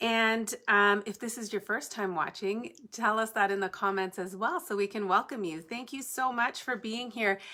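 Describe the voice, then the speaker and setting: A woman speaks at a moderate pace with a fairly high pitch and a bright, sharp tone. Her pitch varies in an ordinary way, and the recording is very clean with a silent background. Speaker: papercrafting tutorial host. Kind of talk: live-stream crafting tutorial chat. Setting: home basement, live stream. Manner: loud; chatty, casual.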